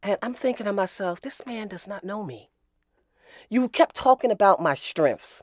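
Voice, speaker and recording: A woman with an ordinary speaking voice, medium pitch and lively intonation at a moderate pace, in a dry, close sound with no echo and a very clean recording with a silent background. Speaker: mother of the host. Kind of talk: casual chat.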